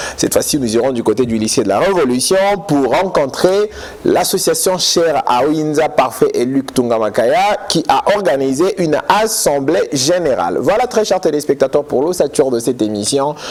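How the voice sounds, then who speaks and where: Against noticeable background noise, a man with a fairly high pitch talks at a moderate pace, his pitch swinging very widely while his loudness stays very even. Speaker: TV education magazine host. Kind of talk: TV magazine presenting and interview.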